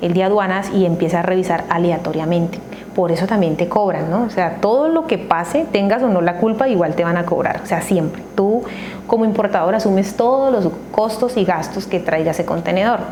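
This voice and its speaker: Audible room echo and noticeable background noise accompany a woman's medium-pitched voice. She speaks at a fairly quick pace with ordinary pitch variation and very even loudness. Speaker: accounting educator. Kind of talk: tutorial.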